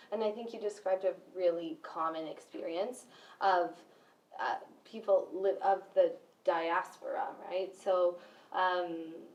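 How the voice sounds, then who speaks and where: A woman with a Spanish accent talks at a fairly slow pace, leaving long, frequent pauses. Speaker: educator. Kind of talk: panel discussion.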